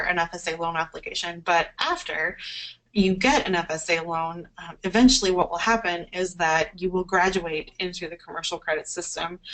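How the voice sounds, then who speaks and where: The speaker is a woman. Her pitch sits fairly low. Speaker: webinar presenter on farm credit. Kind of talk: webinar presentation. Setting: online webinar. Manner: fast.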